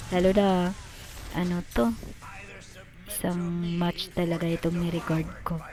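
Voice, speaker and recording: Music plays in the background as the speech moves at a fairly slow pace. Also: woman. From Visayas, Philippines. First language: Cebuano (Bisaya) (speaking Tagalog). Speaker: gamer. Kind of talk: gameplay voiceover commentary. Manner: halting, many fillers; casual.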